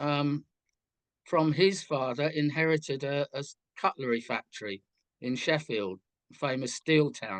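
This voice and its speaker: A man with a London accent speaks at a very slow pace. His pitch is fairly high, and the sound is dry and close with no echo. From southwest London outskirts, England. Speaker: musician. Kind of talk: interview.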